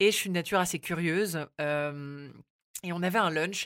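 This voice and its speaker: A woman talks with fairly even intonation. The recording is very clean, with a silent background. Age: 20s. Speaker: radio journalist. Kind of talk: casual chat. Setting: studio.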